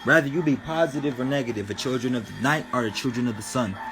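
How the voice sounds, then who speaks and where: Over noticeable background noise, the speech moves at a fairly quick pace with ordinary pitch variation. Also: man. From New Mexico, Albuquerque. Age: 20s. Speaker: spirituality livestreamer. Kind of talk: casual livestream talk. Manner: animated.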